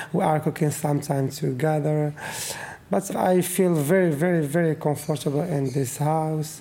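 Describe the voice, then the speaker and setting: Noticeable background noise sits behind a man with a fairly high pitch, fairly even intonation, very even loudness and a moderate pace. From Morocco, Fez. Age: 20s. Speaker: homeless youth interviewee. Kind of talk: interview testimony. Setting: at home. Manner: halting.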